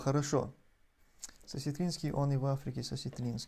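Somewhat breathy, a man speaks at a fairly quick pace. His tone is dark and mellow, and his pitch is fairly high. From Chechnya. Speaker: video blogger answering viewer donations; streamer answering donations. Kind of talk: livestream commentary and Q&A; live stream commentary. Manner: hesitant, frequent fillers.

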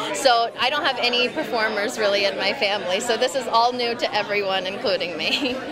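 A woman in an American accent at a fairly quick pace with hardly any pauses, under loud background noise. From Texas, Houston. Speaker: actress. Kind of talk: interview. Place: hall. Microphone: handheld.

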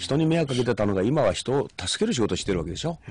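Very wide pitch swings mark a man talking at a very fast pace in a dry sound with no echo. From Shimane, Japan. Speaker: former high school baseball coach, education commentator. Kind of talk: radio interview. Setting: radio studio. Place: studio. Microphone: studio mic.

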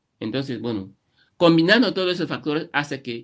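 Behind the man's voice, the background is quiet. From Equatorial Guinea, Malabo, Annobonese parents; Equatorial Guinea. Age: 50s. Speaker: writer; interviewee. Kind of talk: interview. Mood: earnest, reflective. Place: home room. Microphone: webcam.

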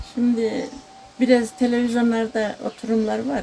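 Amid light background noise, a woman speaks at a very slow pace. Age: 80s+. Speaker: folk poet. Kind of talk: interview. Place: garden. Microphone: phone near.

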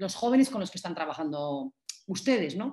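A woman is speaking. The background is quiet. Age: 40s. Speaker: cultural manager and innovation consultant; workshop instructor. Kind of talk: online masterclass lecture. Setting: video call. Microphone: video call.

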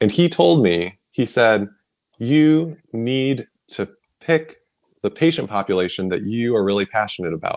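A man's medium-pitched voice with very wide pitch swings, a moderate pace and long, frequent pauses against a quiet background. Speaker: pediatrician and wellness coach. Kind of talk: interview. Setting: livestream video. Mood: friendly, animated. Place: home room. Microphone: video call.

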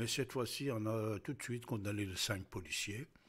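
A man talks with fairly even intonation. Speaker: radio news commentator. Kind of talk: news commentary. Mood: serious, measured. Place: studio. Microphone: studio mic.

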